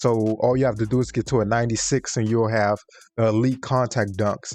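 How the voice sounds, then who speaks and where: Music plays in the background as a man talks at a moderate pace. His intonation is monotone and flat. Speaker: gaming YouTuber. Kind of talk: tutorial. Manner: halting, self-correcting; casual.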